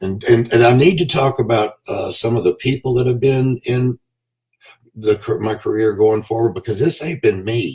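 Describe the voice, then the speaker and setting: A man of medium pitch, somewhat breathy, speaks with ordinary pitch variation. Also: moderate pace. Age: 60s. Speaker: pro wrestler. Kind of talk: podcast interview. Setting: live stream.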